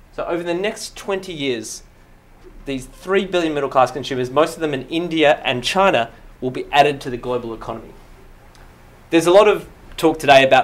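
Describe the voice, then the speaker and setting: Here a man speaks with an Australian accent. His pace is fairly quick and his intonation lively. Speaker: management consultant; presenter. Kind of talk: slide presentation. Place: hall.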